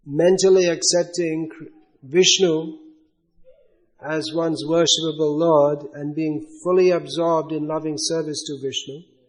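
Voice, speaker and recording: There is audible room echo as a man with a fairly high pitch talks at a fairly slow pace. His intonation is monotone and flat. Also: big swings in loudness. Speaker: spiritual teacher. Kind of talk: religious lecture with questions.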